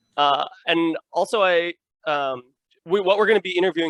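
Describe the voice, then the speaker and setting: Speaking with an American accent at a fairly quick pace, a man uses lively intonation, his voice dry and close with no echo against a quiet background. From Illinois. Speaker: podcast host. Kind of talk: podcast interview.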